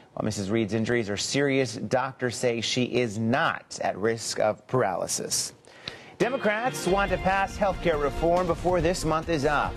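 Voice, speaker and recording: Very wide pitch swings at a moderate pace and very even loudness, with music in the background. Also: man, fairly high pitch for a man. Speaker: TV news anchor. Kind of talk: TV news anchoring.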